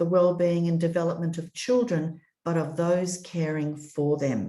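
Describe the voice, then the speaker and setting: A woman with an Australian accent speaks at a fairly slow pace. Her voice is somewhat breathy, with a dark, mellow tone. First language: European language. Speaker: children's commissioner. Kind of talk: prepared speech. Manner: formal.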